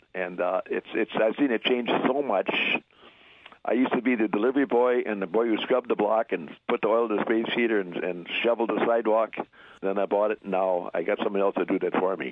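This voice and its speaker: Speaking at a very fast pace, the man keeps a medium pitch. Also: ordinary pitch variation. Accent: Wisconsin. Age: 80s+. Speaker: deli shop owner. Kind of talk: interview. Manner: halting, repeats words.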